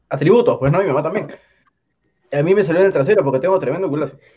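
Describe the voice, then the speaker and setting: Lively intonation marks a man's high-pitched voice. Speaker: podcast co-host. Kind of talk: casual chat among friends. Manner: animated, laughing often.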